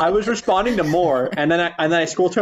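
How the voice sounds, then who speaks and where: This man has a high-pitched voice. He speaks at a very fast pace. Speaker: podcast host. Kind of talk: casual chat.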